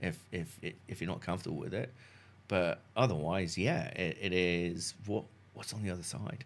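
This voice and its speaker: A man with a very deep, low voice speaks at a moderate pace, his pitch varying in an ordinary way. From South Devon, England. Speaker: marketing executive. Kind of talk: casual interview chat. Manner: halting, filler words.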